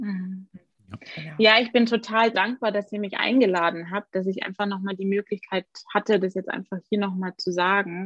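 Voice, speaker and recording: A woman with a medium pitch has an unremarkable speaking voice and fairly even intonation. She keeps a moderate pace, and the sound is dry and close with no echo. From Germany, Augsburg (Bavaria). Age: 30s. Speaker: occupational therapist. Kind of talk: interview.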